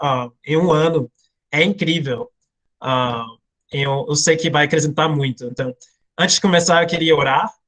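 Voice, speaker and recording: A man's fairly high voice with an American accent. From United States. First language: English (speaking Portuguese). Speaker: missionary and Bible teacher. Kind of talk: online Bible class. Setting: video call. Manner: hesitant, many fillers.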